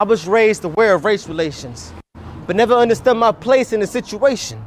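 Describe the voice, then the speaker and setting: High-pitched male voice at a fairly quick pace, with ordinary pitch variation. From US, Central American immigrant family. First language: Spanish. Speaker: spoken word poet. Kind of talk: spoken word poetry performance.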